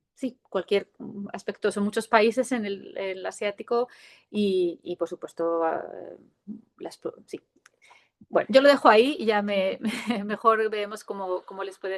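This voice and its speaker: In a dry, close sound with no echo, a woman of medium pitch talks at a moderate pace with lively intonation. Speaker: visiting professor. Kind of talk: lecture.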